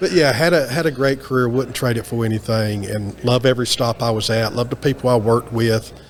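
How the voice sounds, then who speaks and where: A man speaks at a fairly quick pace with hardly any pauses, his medium pitch showing ordinary variation. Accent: slight Southern US. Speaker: maintenance and reliability professional. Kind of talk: interview. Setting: onsite at a trade event.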